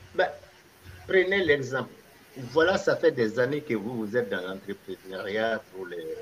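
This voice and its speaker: A man at a fairly slow pace, with long, frequent pauses, very wide pitch swings and noticeable background noise. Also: medium pitch for a man. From Mali. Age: 70s. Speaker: retired baker and diaspora entrepreneur. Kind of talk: interview conversation.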